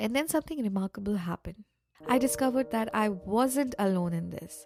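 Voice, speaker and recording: A woman at a medium pitch, very wide pitch swings, and a moderate pace, in a dry, close sound with no echo. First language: not English. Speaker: podcast host. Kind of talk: personal monologue. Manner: casual, unscripted with restarts.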